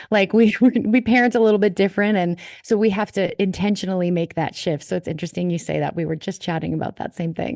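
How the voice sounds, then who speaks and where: With a slight Minnesotan accent, a woman talks at a very fast pace with hardly any pauses. Her medium pitch varies in an ordinary way over a quiet background. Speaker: worship leader. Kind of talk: casual chat.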